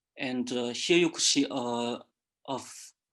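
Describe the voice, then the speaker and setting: Against a quiet background, a man with medium pitch talks at a fairly slow pace with fairly even intonation. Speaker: student presenter. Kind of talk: lecture. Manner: halting.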